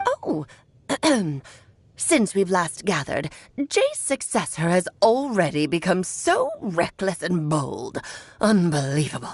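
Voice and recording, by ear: A woman uses a put-on character voice at a medium pitch. She talks fairly slowly, with long, frequent pauses.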